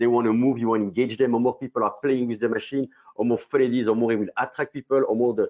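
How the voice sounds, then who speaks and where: This man speaks with a strong French accent at a very fast pace. His medium-pitched voice is monotone and flat. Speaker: company co-founder presenting a product. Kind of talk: business webinar presentation. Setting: online webinar.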